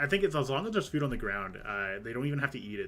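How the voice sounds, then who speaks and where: A man with a Canadian accent and very wide pitch swings, with music in the background. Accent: Canadian, says 'eh' at sentence ends. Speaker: video game streamer. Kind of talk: casual live-stream chat. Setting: live stream.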